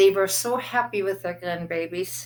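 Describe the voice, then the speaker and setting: With a German accent, a woman speaks at medium pitch and a fairly slow pace, using ordinary pitch variation. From Germany (Berlin). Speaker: war survivor recounting memories. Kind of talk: personal testimony.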